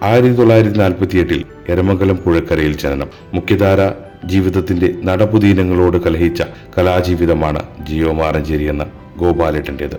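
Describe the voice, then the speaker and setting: Music plays in the background behind a man. His voice is very deep and low, with fairly even intonation. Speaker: narrator. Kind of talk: biographical narration.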